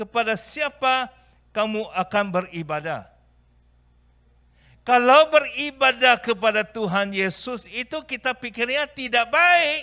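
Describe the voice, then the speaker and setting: A man's raised, projected voice at an extremely high pitch, with a non-native accent, lively intonation and a very slow pace. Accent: non-native Indonesian. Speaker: pastor. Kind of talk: sermon. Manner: halting.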